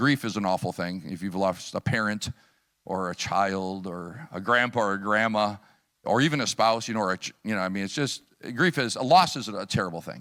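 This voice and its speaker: A man with a US Midwestern accent speaks at a fairly quick pace in a fairly low pitch. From US Midwest, Chicago area / Wisconsin. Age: 60s. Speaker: missionary preacher. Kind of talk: sermon with personal testimony. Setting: church service. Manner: conversational, with many fillers.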